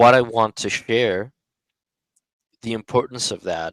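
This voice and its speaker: At a very slow pace, a man talks at a medium pitch with fairly even intonation. The sound is dry and close, with no echo. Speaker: social media commentator. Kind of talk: monologue on a live audio space. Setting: online live audio room. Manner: slow and gradual; halting, many fillers.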